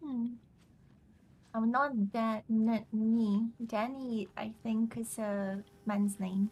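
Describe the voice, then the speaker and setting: A woman with a fairly high pitch sounds somewhat breathy, her intonation monotone and flat. She speaks at a very slow pace with long, frequent pauses. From Russia. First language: Russian. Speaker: video game streamer. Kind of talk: casual chat during live gameplay.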